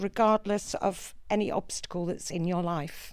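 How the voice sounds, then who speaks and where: Speaking at a fairly slow pace, a woman uses fairly even intonation in an unremarkable speaking voice. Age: 60s. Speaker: mature student election candidate. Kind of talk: debate opening statement.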